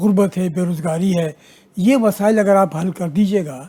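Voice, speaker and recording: Here a man speaks with a high pitch. His tone is dark and mellow. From Pakistan, Karachi. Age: 70s. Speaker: writer. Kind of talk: TV talk show discussion. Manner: formal.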